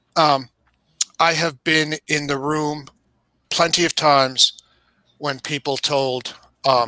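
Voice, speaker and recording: The tone is bright and sharp, the intonation monotone and flat. Delivery is very slow with long, frequent pauses, and the sound is dry and close with no echo. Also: man. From New York. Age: 60s. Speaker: video game industry guest. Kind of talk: casual chat. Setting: live stream. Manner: halting, many fillers.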